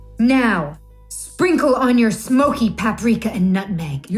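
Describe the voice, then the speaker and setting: Putting on a growling character voice over clear music, a woman speaks fairly slowly at a fairly high pitch with very wide pitch swings. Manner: gruff, exaggerated.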